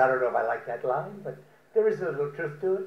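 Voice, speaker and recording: The man's voice is high-pitched, and the room echo can be heard. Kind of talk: prepared humorous speech. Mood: wry, joking. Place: garden. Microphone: podium.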